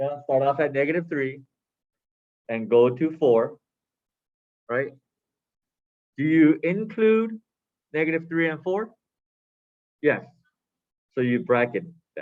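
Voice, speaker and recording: Long, frequent pauses break up the speech of a man with a fairly high pitch and lively intonation who talks at a fairly slow pace. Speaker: math teacher. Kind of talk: lecture. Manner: loud.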